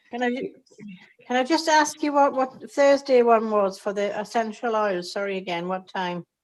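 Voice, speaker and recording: A woman's plain, everyday voice, fairly high in pitch, with lively intonation and a moderate pace. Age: 60s. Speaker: new participant. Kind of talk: video call group meeting. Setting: video call.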